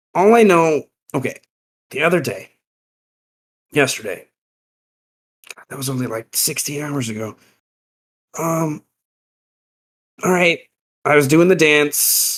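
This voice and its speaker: A man's put-on character voice, raspy and fairly high-pitched, with ordinary pitch variation, moderate pace, long, frequent pauses and big swings in loudness. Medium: actual play. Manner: drowsy, exasperated.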